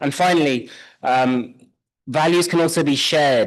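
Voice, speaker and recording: Against a quiet background, a man with a British accent talks at a fairly slow pace with ordinary pitch variation. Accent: British accent, noticeable. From United Kingdom. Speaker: conference presenter, social scientist. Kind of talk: conference presentation.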